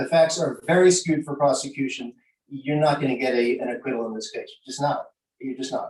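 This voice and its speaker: Speaking at a fairly quick pace, a man uses a normal speaking voice, fairly high in pitch with ordinary pitch variation. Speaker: mock trial judge giving feedback. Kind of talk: critique to students.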